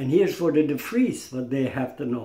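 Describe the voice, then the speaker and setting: Somewhat breathy, a man talks with lively intonation at a fairly high pitch. Room echo is audible. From Indonesia (Dutch-Indonesian). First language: Dutch. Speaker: martial arts master. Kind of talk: recorded statement. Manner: halting. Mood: firm, indignant. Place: home room. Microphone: phone near.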